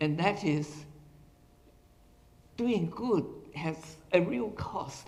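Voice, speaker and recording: Audible room echo surrounds a man with a high pitch who talks at a very slow pace, leaving long, frequent pauses. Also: ordinary pitch variation. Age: 80s+. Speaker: retired professor giving a talk. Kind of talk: lecture.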